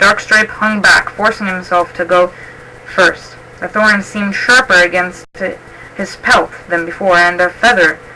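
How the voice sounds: In a natural reading voice, the words come with fairly even intonation.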